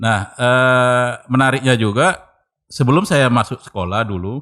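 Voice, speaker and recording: On a very clean recording with a silent background and a dry, close sound with no echo, a man talks at a fairly slow pace with ordinary pitch variation. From North Sumatra, Indonesia (Medan/Belawan, Tarutung). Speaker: cultural researcher. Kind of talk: casual interview. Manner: halting.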